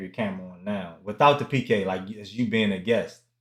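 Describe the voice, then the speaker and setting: A man with a slight DC accent, a fairly low pitch and a fairly quick pace. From Washington DC. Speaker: gaming streamer. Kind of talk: casual chat. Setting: live stream.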